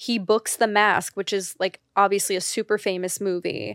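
An unremarkable speaking voice belongs to a woman at a medium pitch, talking at a moderate pace. The recording is very clean with a silent background, and the sound is dry and close with no echo. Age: 30s. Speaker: podcast host. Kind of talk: solo monologue. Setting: video podcast recording.

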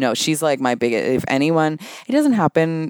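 A man at a moderate pace and fairly high pitch, with big pitch swings, a clear, smooth and slightly mellow tone, and a dry, close sound with no echo.

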